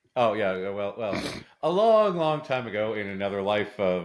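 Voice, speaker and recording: This man speaks with a medium pitch at a moderate pace. The background is quiet. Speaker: podcast co-host. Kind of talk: casual chat. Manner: loud.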